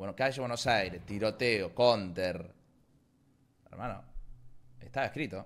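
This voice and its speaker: A man speaks at a fairly low pitch with ordinary pitch variation. His delivery has long, frequent pauses. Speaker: esports commentator and streamer. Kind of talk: live esports play-by-play commentary, rapid-fire and hyped. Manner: informal, slangy, chatty with the audience. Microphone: headset.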